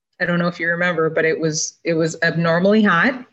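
A woman with an unremarkable speaking voice and an American accent speaks at a fairly low pitch. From Minnesota. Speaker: meteorologist. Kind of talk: interview. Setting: video call from home. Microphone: video call audio, lower quality.

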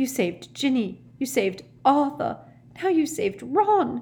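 Using a put-on character voice, a woman speaks high with big pitch swings. Her tone is slightly mellow and her pace is slow.

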